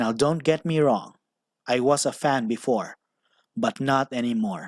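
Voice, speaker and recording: Speaking with a non-native accent, a man uses a medium pitch and lively intonation at a fairly slow pace. The sound is dry and close with no echo, on a very clean recording with a silent background. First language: not English. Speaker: commentary YouTuber. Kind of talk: opinion commentary narration.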